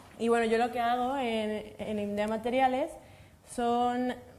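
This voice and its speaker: Speaking fairly slowly, a woman uses a high voice with typical pitch variation. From Mexico. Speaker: materials science researcher. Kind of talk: panel discussion.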